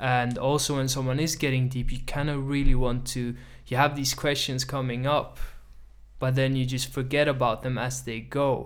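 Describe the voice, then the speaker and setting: A man's medium-pitched voice at a moderate pace, in a monotone, flat intonation. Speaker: podcast host. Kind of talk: casual chat.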